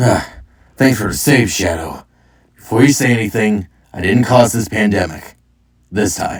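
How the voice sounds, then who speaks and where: In a raspy, put-on character voice with a fairly low pitch, a man talks at a moderate pace, leaving long, frequent pauses. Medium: read story. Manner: joking, flippant.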